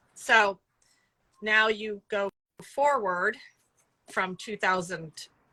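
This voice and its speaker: Loud and fairly even in intonation, a woman speaks with long, frequent pauses. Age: 50s. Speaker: rock music publicist and animal sanctuary founder. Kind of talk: casual interview. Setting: video call from outdoors in a cattery.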